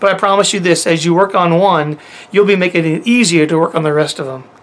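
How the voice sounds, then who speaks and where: Fairly quick speech from a man with high pitch, with noticeable background noise. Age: 50s. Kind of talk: teaching monologue to camera.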